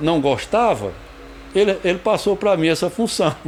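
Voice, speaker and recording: A man's pitch swings very widely as he speaks at a moderate pace, with noticeable noise in the background. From Brazilian Northeast (Rio Grande do Norte / Paraíba). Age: 60s. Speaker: actor and playwright. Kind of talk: biographical interview. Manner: halting, with repetitions.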